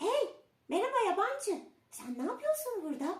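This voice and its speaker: In a put-on character voice, the speaker sounds squeaky and extremely high, with very wide pitch swings at a moderate pace. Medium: read story. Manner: bright, chirpy.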